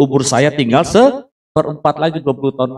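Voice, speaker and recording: His pitch rises and falls across a very wide range. The man keeps up a fairly quick pace. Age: 60s. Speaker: pastor. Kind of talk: sermon.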